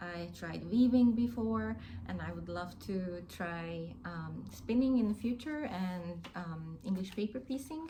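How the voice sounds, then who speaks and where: A woman at medium pitch, talking at a very slow pace amid audible room echo. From Hungary. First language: Hungarian. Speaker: crafting YouTuber. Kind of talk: casual vlog chat. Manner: hesitant, many fillers.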